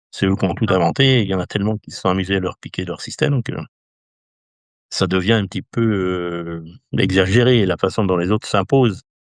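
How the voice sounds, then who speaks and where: A man with a very deep, low voice talks at a fairly quick pace but leaves long, frequent pauses, recorded dry and close with no echo against a quiet background. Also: ordinary pitch variation. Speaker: equestrian endurance race announcer. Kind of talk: interview answer.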